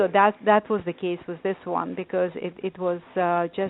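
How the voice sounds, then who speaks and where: A woman with a non-native accent, medium in pitch, monotone and flat in intonation, at a moderate pace. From Lithuania. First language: not English. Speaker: author and life coach. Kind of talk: casual interview chat.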